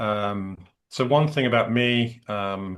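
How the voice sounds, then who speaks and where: This is a man speaking with an English accent. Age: 60s. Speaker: executive and career coach. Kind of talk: interview conversation.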